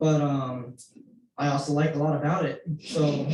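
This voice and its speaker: A man's fairly high, somewhat breathy voice with a dark, mellow tone, an American accent, and a fairly slow pace. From Houston suburbs, Texas. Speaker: committee member, resident. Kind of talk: public meeting discussion.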